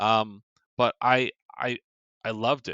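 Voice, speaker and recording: A man speaks in a bright, sharp tone. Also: quiet background. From California, US. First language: Korean. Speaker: film podcast co-host. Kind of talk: casual chat. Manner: hesitant, many fillers.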